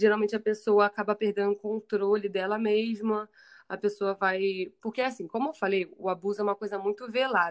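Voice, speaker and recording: In a plain, everyday voice, a woman speaks at a moderate pace and medium pitch. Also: quiet background. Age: 20s. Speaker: psychologist. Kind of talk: casual interview.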